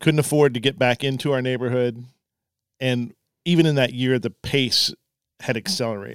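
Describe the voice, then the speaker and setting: Recorded dry and close with no echo, a man speaks at medium pitch and a moderate pace with ordinary pitch variation and long, frequent pauses. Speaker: newspaper editor. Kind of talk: casual chat. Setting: studio.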